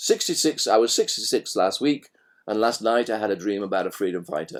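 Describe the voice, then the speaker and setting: This man has a British accent and keeps up a fairly quick pace. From Britain. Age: 60s. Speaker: author and leadership trainer. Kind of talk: interview conversation.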